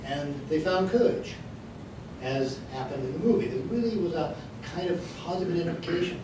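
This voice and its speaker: A man with an American accent at a moderate pace, with noticeable background noise and audible room echo. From US West (Denver, Colorado). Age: 70s. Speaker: speaker on LGBT history, advocate for elders. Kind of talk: lecture.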